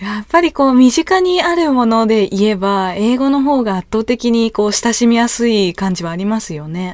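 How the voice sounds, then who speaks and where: The voice moves at a moderate pace with hardly any pauses. Its pitch swings very widely. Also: woman, fairly high pitch for a woman. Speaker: podcast interviewer. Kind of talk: interview.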